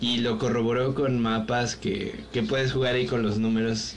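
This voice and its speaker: With a Mexican accent, the speaker goes at a fairly slow pace amid noticeable background noise and audible room echo. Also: man. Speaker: podcast co-host. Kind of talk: casual chat.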